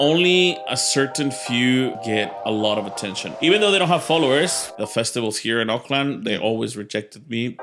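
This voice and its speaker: A man with a Mexican accent, medium pitch and very wide pitch swings, animated in tone, at a moderate pace with hardly any pauses, over music in the background. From Mexico. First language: Spanish. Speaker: stand-up comedian. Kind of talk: interview answer. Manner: casual, animated.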